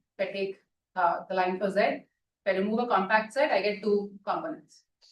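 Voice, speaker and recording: Her pace is very fast. The woman speaks at a medium pitch. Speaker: mathematics lecturer. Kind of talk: lecture.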